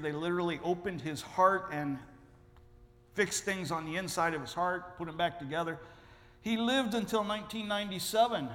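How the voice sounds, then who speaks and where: A man speaks at a fairly quick pace with a high pitch. Room echo is audible. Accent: American. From Ohio. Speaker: missionary. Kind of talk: sermon. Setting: church.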